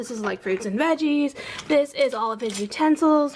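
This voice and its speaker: Amid noticeable background noise, a woman speaks in a high pitch at a moderate pace. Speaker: mommy vlogger. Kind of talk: casual vlog room tour. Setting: at home, child's bedroom.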